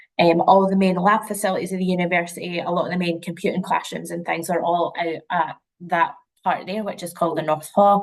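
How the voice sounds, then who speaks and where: Speaking at a fairly quick pace, a woman with a Scottish accent holds a fairly low pitch in a monotone, flat intonation. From Scotland, near St Andrews, Fife. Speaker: university representative. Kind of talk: webinar presentation. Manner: casual, many fillers.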